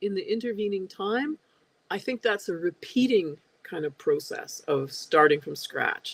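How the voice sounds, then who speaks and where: In a Canadian accent, a woman with an unremarkable speaking voice talks at a moderate pace, her fairly high pitch carrying lively intonation and big swings in loudness, with a dry, close sound and no echo. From Canada, Edmonton, Alberta. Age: 60s. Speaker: spiritual seeker guest. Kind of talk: interview conversation.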